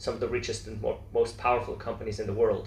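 The speaker is a man. Audible room echo hangs around his voice. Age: 40s. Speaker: entrepreneur. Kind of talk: interview.

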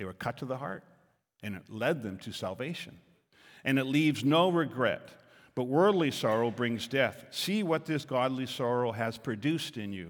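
A man with a plain, everyday voice at medium pitch, moderate in pace and lively in intonation, in a very clean recording with a silent background. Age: 60s. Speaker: pastor. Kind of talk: sermon. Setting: church.

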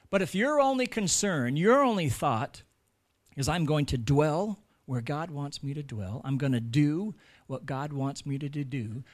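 A man speaks with an American accent at a fairly high pitch, his intonation lively, in a very clean recording with a silent background. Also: fairly slow pace. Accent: American, noticeable. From United States. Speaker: pastor. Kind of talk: sermon.

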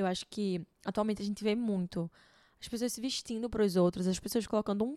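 On a very clean recording with a silent background, a woman speaks at medium pitch in a dark, mellow tone, the sound dry and close with no echo. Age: 20s. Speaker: style consultant and podcast host. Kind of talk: solo podcast monologue.

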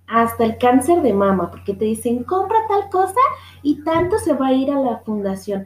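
A woman's high-pitched voice with a Guadalajara accent, very wide pitch swings and a moderate pace. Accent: Mexican Spanish (Guadalajara). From Mexico, Guadalajara. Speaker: podcast host. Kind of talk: casual monologue. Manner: laughs often.

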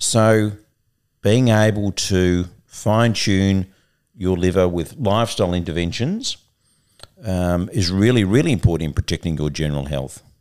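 A man's very deep, low voice with an Australian accent, ordinary pitch variation and a moderate pace, on a very clean recording with a silent background. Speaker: liver doctor and podcast host. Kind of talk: casual conversational podcast.

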